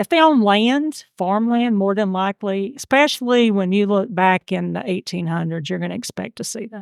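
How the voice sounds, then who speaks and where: With a Georgia accent, a medium-pitched woman speaks at a moderate pace with lively intonation, big swings in loudness and hardly any pauses, in a very clean, dry, close recording with no echo and a silent background. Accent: Southern (Georgia). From US South, Georgia. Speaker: amateur genealogist. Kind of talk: interview conversation.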